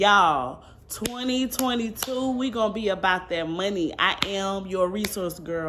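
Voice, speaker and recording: A woman's medium-pitched voice with lively intonation, hardly any pauses and audible room echo. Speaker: vlogger. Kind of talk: casual vlog talk to camera. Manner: animated.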